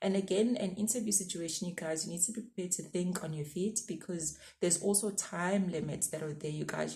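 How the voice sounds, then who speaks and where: Over audible room echo, a woman speaks at a very fast pace with a fairly low pitch, fairly even intonation, a dark, mellow tone and a somewhat breathy quality. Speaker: YouTuber giving career advice. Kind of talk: casual advice vlog.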